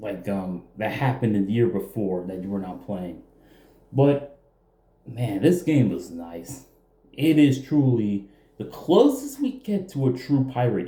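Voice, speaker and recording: Somewhat breathy and dark, mellow in tone, a man speaks at a medium pitch and a fairly slow pace, his pitch swinging very widely and his loudness shifting a lot. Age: 20s. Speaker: gaming youtuber. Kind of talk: casual game review.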